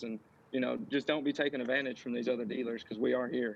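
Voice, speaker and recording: A man with a Texan accent at medium pitch. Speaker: RV dealership manager. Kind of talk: live-stream interview.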